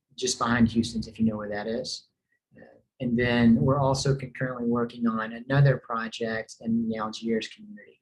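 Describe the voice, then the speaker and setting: A man with a slight Tennessee accent speaks at a moderate pace and medium pitch. His intonation is monotone and flat, while his loudness swings widely. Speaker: real estate developer representative. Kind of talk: community presentation. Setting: online meeting with screen share. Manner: hesitant, many fillers.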